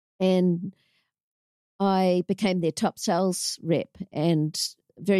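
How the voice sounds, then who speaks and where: Against a quiet background, a woman speaks in a fairly low voice. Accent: New Zealand. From New Zealand, Auckland. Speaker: inspirational speaker and anti-bullying program founder. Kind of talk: interview, personal life story.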